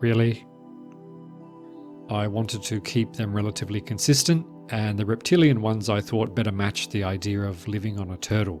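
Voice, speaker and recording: Over music in the background, a soft-spoken man with a fairly low pitch talks with ordinary pitch variation and long, frequent pauses. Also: fairly quick pace. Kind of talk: game base tour narration. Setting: voice over.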